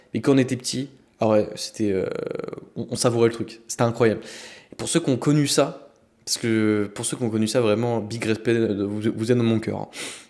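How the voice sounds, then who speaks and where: Long, frequent pauses break up a man's medium-pitched speech, which has fairly even intonation. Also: fairly quick pace. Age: 20s. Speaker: podcast host and men's coach. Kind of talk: casual podcast talk. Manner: casual, hesitant.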